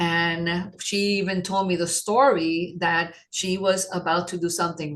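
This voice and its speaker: At a moderate pace comes a normal speaking voice. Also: woman. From New York City, Puerto Rican parents. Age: 50s. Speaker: holistic wellness practitioner. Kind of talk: podcast interview.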